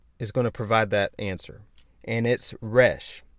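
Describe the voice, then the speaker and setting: At a moderate pace, a man talks at a medium pitch. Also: very clean recording, silent background. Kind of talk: religious teaching monologue. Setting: outdoors. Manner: animated.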